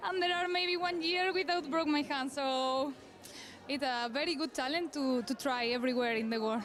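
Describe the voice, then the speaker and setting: A woman's high voice in a Spanish accent, with ordinary pitch variation and noticeable background noise. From northern Spain. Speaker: obstacle course athlete. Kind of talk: post-competition interview. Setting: sports venue. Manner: halting.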